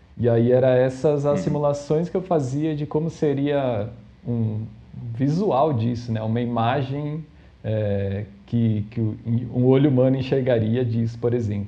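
A man with a medium pitch and ordinary pitch variation speaks at a fairly slow pace. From Brazil, São Paulo city. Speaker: data scientist. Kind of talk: casual interview. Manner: hesitant, many fillers.

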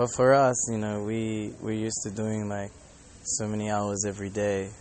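A man with an Australian accent, fairly low in pitch, at a moderate pace with monotone, flat intonation. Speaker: Hare Krishna devotee and monk. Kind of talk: casual monologue vlog. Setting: airport.

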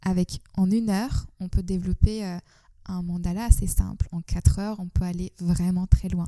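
Somewhat breathy and dark, mellow in tone, a woman's medium-pitched voice goes at a fairly slow pace in a monotone, flat intonation. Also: dry, close sound with no echo. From Turkey, Istanbul. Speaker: artist and yoga teacher. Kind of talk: interview. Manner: hesitant, many fillers.

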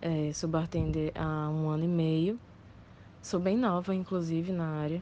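The voice is a plain, everyday voice at a fairly slow pace. Its loudness stays very even throughout. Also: woman, fairly low pitch for a woman. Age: 20s. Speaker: bartender. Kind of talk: voice message testimony.

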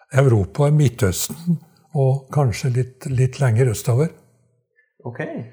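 Pausing long and often at a fairly slow pace, a man speaks in a somewhat breathy, dark, mellow voice of medium pitch with ordinary pitch variation. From Trøndelag, Norway (Skogn). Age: 80s+. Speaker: retired dialect researcher. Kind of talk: interview storytelling. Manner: halting, many repetitions.

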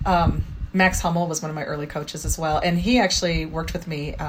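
In an American accent, a woman with a fairly low pitch and a somewhat breathy voice talks at a fairly quick pace. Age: 50s. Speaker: parkour practitioner and music teacher. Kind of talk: interview.

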